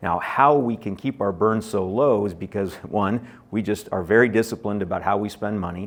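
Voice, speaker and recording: This man has an unremarkable speaking voice with an American accent and a fairly low pitch. He talks at a fairly quick pace with fairly even intonation. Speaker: biotech company executive. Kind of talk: conference presentation. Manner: many fillers and false starts.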